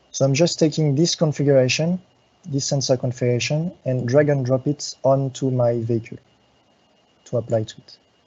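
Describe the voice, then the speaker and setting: Speaking at a fairly quick pace, a man uses a medium pitch with fairly even intonation. His voice is somewhat breathy and swings widely in loudness. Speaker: software support engineer. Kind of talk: live tutorial. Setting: live web workshop. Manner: halting, many fillers.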